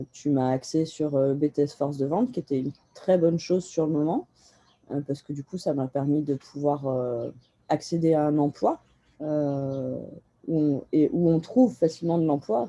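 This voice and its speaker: A woman with a very deep, low pitch, ordinary pitch variation, and long, frequent pauses. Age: 30s. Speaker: tree nursery grower. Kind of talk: interview. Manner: halting.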